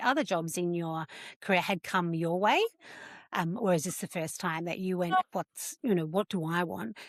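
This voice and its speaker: A woman with an Australian accent at a fairly low pitch, moderate pace and ordinary pitch variation, in a dry, close sound with no echo on a very clean recording with a silent background. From rural Australia. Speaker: podcast host. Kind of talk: podcast interview.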